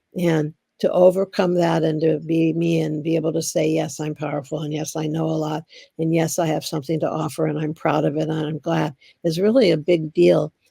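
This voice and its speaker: A woman with a very deep, low pitch, a dark, mellow tone and vocal fry speaks at a fairly quick pace in a flat monotone. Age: 70s. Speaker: interviewee recalling the AIDS crisis. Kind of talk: documentary interview. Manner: emotional, heartfelt.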